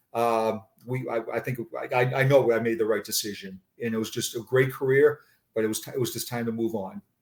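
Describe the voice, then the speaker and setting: With a Boston accent, a man talks at a fairly quick pace and a medium pitch. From Boston area, Massachusetts. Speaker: retired police sergeant. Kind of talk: interview conversation. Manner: halting, frequent repetitions.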